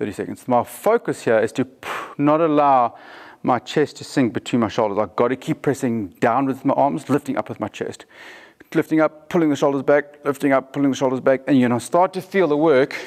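Behind the man, the background is quiet. He talks fairly quickly, his pitch varying in an ordinary way. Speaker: fitness coach. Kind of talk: tutorial. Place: gym.

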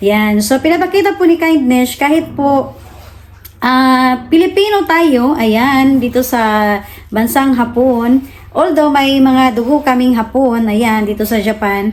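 High-pitched woman's voice at a very slow pace, very even in loudness. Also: lively intonation. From Philippines. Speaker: vlogger. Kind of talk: casual vlog narration. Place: home room. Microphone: phone near.

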